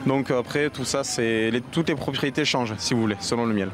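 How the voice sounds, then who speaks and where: A man at medium pitch and a fairly quick pace, intonation fairly even, over music in the background. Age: young. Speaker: beekeeper and vendor. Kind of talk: on-location interview.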